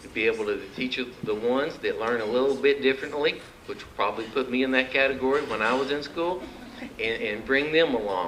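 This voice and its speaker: A man with an Arkansas accent speaks in an animated tone at a fairly quick pace, his medium pitch showing ordinary variation. Noticeable background noise runs behind him. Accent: Arkansas country. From Arkansas (Mountain View). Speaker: political candidate. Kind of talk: campaign speech. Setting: luncheon meeting with audience. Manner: folksy, animated.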